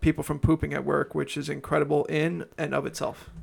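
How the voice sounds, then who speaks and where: A man speaks with a Long Island accent. His pace is fairly quick. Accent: New York (Long Island). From Long Island, New York. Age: 20s. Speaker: podcast co-host. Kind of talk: casual chat. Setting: studio.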